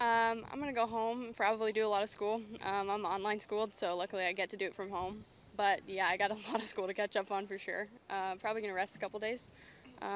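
Fast and flat, a woman talks at a very fast pace in a monotone, in a dry sound with no echo and light background noise. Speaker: interviewee. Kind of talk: interview answer. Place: open country. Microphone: handheld.

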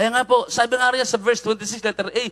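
A man speaks in an animated tone with a Filipino accent, music playing in the background. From Philippines. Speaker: preacher. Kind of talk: sermon. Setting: online live stream. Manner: exhortative. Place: church. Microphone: handheld.

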